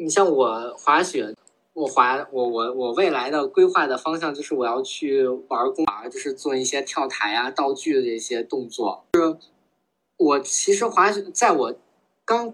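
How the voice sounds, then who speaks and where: A man talks in a plain, everyday voice at a fairly slow pace. His pitch is fairly high, and his intonation is lively. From Beijing. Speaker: office worker, skier. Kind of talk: casual interview chat.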